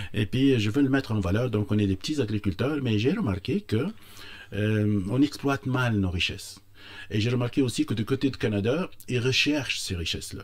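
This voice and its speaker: A man's fairly low, slightly breathy voice moves at a moderate speed, its pitch shifting in an ordinary way. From Tunisia, Tozer. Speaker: entrepreneur. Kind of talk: radio interview. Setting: studio. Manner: halting, many hesitations.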